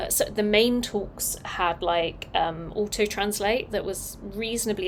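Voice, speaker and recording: Noticeable background noise surrounds a woman speaking at a medium pitch with fairly even intonation. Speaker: designer live-streaming open source work. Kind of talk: casual live-stream talk. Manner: long pauses at ends of sentences; clear pronunciation.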